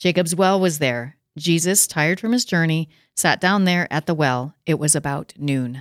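With an ordinary speaking voice, a woman speaks at a moderate pace and a fairly low pitch with ordinary pitch variation, in a dry, close sound with no echo on a very clean recording with a silent background. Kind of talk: casual discussion, reading scripture aloud.

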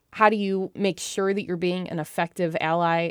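Heard in a very clean recording with a silent background and a dry, close sound with no echo, a woman with an unremarkable speaking voice talks at a moderate pace and a fairly low pitch. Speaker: podcast host. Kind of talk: casual chat. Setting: studio.

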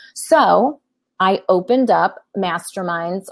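A woman speaks at a medium pitch with ordinary pitch variation. She has a normal speaking voice. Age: 50s. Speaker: business coach and consultant. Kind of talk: interview.

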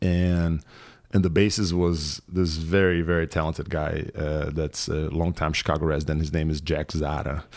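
With a Portuguese accent, a man speaks at a moderate pace in a very deep, low pitch and monotone, flat intonation, on a very clean recording with a silent background. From Brazil, São Paulo. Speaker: musician. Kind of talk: casual chat.

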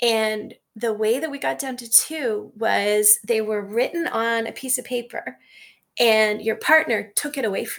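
A woman with an unremarkable speaking voice talks at a fairly slow pace, in a fairly high pitch, with lively intonation. Her loudness swings widely. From Canada. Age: 40s. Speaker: psychology professor and Chinese medicine student. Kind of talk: casual interview conversation.

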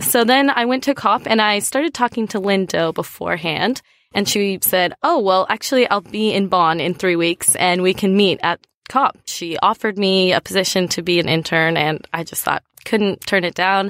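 With an American accent and a normal speaking voice, a woman at medium pitch talks at a moderate pace with ordinary pitch variation and hardly any pauses, in a dry, close sound with no echo on a very clean recording with a silent background. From United States. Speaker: climate organization intern. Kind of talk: panel interview.

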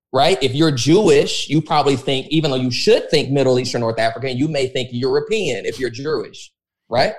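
This man talks at a fairly quick pace, his pitch fairly high with ordinary variation. It is a plain, everyday voice. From Texas, born in Los Angeles suburbs. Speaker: pastor. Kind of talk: casual interview conversation.

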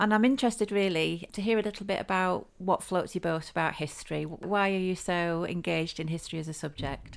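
A woman speaks in a plain, everyday voice of medium pitch, fairly quickly and with hardly any pauses. Her pitch varies in an ordinary way on a very clean recording with a silent background. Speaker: podcast host. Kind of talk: interview conversation.

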